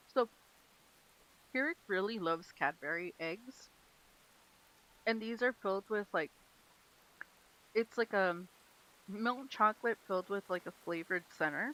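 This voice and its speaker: Using lively intonation with long, frequent pauses, a woman speaks at a fairly slow pace and medium pitch in a bright, sharp tone, recorded dry and close with no echo. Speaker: gaming streamer. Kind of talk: casual live stream chat. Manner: loud.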